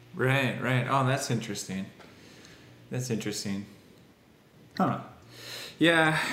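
Noticeable background noise runs under a man's medium-pitched voice. He talks at a fairly slow pace with ordinary pitch variation and long, frequent pauses. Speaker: podcast co-host. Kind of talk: casual chat. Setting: remote call.

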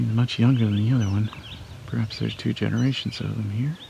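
The clip features a man, with noticeable background noise. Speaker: nature sound recordist and birder. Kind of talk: live birding field commentary. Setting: outdoors at a wetland.

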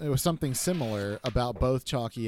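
With music in the background, a man with an American accent speaks at a moderate pace. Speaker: guest co-host. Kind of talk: casual chat. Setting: remote call.

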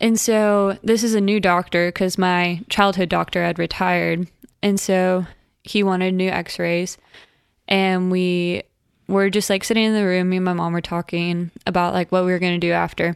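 A woman with an American accent talks at a moderate pace in a medium pitch, her intonation monotone and flat, her loudness very even, on a very clean recording with a silent background. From Oklahoma, Tulsa. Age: 20s. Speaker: nursing student. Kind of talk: casual chat. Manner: soft-spoken.

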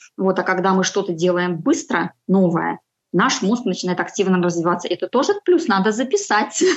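In a normal speaking voice, a woman speaks at medium pitch and a moderate pace, with ordinary pitch variation and very even loudness. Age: 40s. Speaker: homemaker and freelancer on a healthy-eating journey. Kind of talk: casual interview.

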